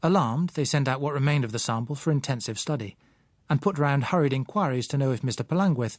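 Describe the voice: On a very clean recording with a silent background, a man talks at a fairly quick pace and medium pitch with lively intonation.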